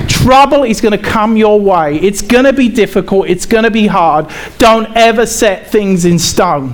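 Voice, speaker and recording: A man's high-pitched voice at a very even loudness, with audible room echo and noticeable background noise. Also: ordinary pitch variation, moderate pace. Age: 40s. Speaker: pastor. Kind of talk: sermon.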